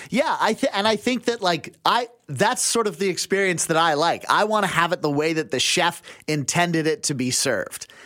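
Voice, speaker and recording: A man's high-pitched voice, bright and sharp in tone, with lively intonation at a moderate pace. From western Canada (Abbotsford, British Columbia). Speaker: radio contributor. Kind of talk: casual chat. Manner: halting, many fillers and restarts.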